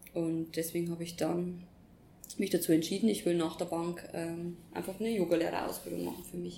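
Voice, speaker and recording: In a room with audible echo, a woman with a dark, mellow tone and vocal fry speaks fairly quickly at a fairly low pitch, in a monotone, flat intonation broken by long, frequent pauses. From Upper Palatinate, Bavaria, Germany. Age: 20s. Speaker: former bank employee, yoga teacher trainee. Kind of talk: casual interview. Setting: sitting together in Bali.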